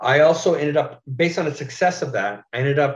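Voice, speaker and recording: A man with a somewhat breathy voice keeps a moderate pace and ordinary pitch variation. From Curve Lake First Nation, Ontario, Canada. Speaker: playwright and writer. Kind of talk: talk to an audience. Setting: remote talk, video. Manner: halting.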